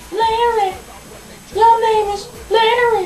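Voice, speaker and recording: A squeaky, cartoonish character voice over clear background noise. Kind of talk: puppet show comedy skit. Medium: puppet show. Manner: chirpy, then dismayed and pleading.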